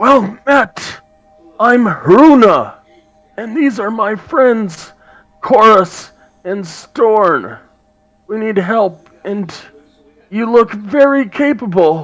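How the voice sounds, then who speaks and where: Over faint music, a man uses a raspy, high-pitched put-on character voice, speaking very slowly with long, frequent pauses. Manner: friendly, greeting travelers.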